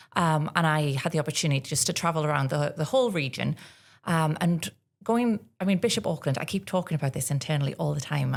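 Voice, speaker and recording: This very clean recording, with a silent background, captures a woman with a North East England accent at a very deep, low pitch. She talks at a fairly quick pace with ordinary pitch variation. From North East England, Northumberland. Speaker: tourism partnerships manager. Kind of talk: podcast interview.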